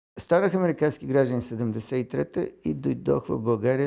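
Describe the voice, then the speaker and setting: The man's voice is medium in pitch with a dark, mellow tone. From Bulgaria, Sofia. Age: 70s. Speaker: engineer and architect. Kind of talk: documentary interview. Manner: halting, with fillers.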